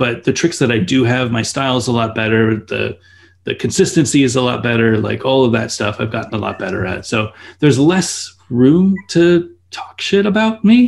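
A man with an American accent speaks in an unremarkable speaking voice at a medium pitch. His intonation is lively and his pace moderate. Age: 40s. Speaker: skate company owner and YouTuber. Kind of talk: casual interview.

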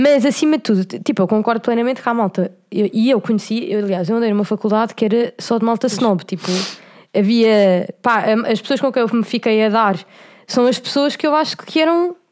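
A woman with a plain, everyday voice speaks at a fairly high pitch and fairly quick pace, with ordinary pitch variation. Her loudness is very even on a very clean recording with a silent background. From Portugal, Cascais. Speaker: podcast co-host. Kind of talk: casual chat.

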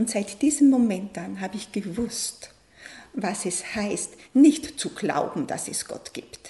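Against noticeable background noise, a woman speaks very slowly in a fairly high pitch with lively intonation. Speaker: coach and aid worker. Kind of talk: radio interview. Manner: emotional, voice falters.

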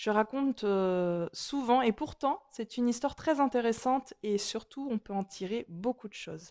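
At a moderate pace, a woman speaks with a fairly high pitch, ordinary pitch variation and a dark, mellow tone. The recording is very clean with a silent background and a dry, close sound with no echo. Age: 40s. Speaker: energy healer and holistic therapist. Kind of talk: personal storytelling monologue. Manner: warm, chatty with frequent hesitations.

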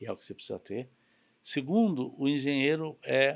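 A man, in an unremarkable speaking voice, talks at a moderate pace. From São Paulo, Brazil. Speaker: logistics company president. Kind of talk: interview conversation.

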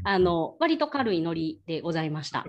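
A woman speaks at a fairly quick pace. Her pitch swings very widely. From Kyoto, Japan. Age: 30s. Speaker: ryokan young proprietress. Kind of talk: presentation with slides.

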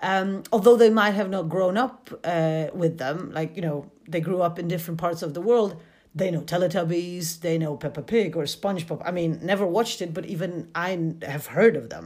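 This woman speaks at a moderate pace with a fairly low pitch. Her pitch varies in an ordinary way. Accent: Polish. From Poland. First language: Polish. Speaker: podcaster and university student. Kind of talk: scripted solo podcast narration.

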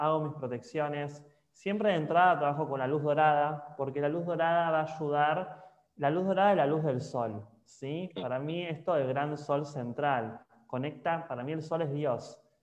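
Ordinary pitch variation at a fairly slow pace comes through with audible room echo. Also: man. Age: 20s. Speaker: spiritual guide. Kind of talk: casual interview. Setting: live stream.

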